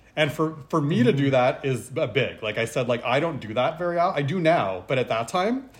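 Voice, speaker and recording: A man with a Canadian accent speaks in an ordinary speaking voice at a moderate pace, with ordinary pitch variation. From Montreal, Canada (English-speaking family). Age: 30s. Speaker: cancer patient and retreat director. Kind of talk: casual chat.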